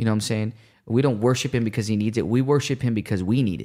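The speaker has an animated tone and ordinary pitch variation, recorded very cleanly with a silent background. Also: man. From Puerto Rican family, Chicago. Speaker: evangelist. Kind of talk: casual chat; preaching. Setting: studio livestream.

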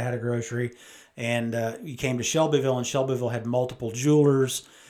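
Speaking with a Midwestern American accent, a man holds a medium pitch. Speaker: mayor. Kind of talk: conversational interview.

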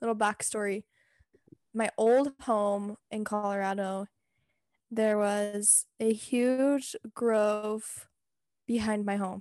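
Here is a plain, everyday voice with fairly even intonation. The sound is dry and close with no echo, against a quiet background. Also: woman. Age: 20s. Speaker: podcast co-host. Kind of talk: casual chat.

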